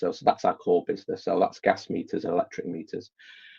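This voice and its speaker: This is a man speaking with a Manchester accent. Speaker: IT director. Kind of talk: interview.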